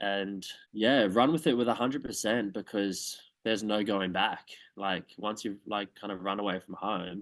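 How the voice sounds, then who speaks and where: Fairly low-pitched man with an Australian accent, fairly even intonation, moderate pace and a quiet background. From Australia, Townsville. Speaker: dancer and drag performer. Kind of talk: interview. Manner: halting.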